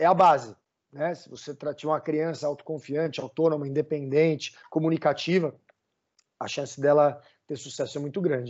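A man with an ordinary speaking voice talks at a moderate pace and fairly high pitch. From Brazil. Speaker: summer camp director. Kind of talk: podcast interview.

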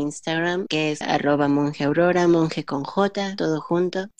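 Speaking at a moderate pace with a fairly low pitch and ordinary pitch variation, a woman has an ordinary speaking voice. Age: 20s. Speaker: linguist. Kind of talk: casual chat.

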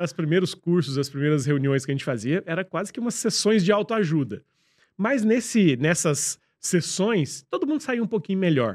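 A man's high-pitched voice with very wide pitch swings at a moderate pace, on a very clean recording with a silent background. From southern Minas Gerais, Brazil. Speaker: entrepreneur, business school co-founder. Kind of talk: casual interview.

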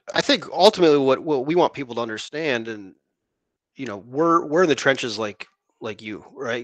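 A man speaks with long, frequent pauses, big swings in loudness and ordinary pitch variation. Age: 30s. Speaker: insurance producer, podcast co-host. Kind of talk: casual chat.

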